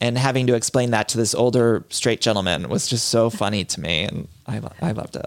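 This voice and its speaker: A man's vocal fry at a fairly quick pace. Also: medium pitch for a man, ordinary pitch variation, hardly any pauses. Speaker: podcaster and author. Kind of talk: casual interview chat. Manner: fast talker.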